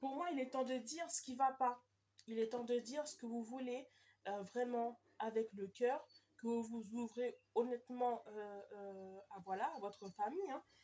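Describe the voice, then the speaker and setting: Her pitch is high, with ordinary variation. The woman talks at a fairly slow pace. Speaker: tarot card reader. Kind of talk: tarot reading video. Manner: hesitant, many fillers.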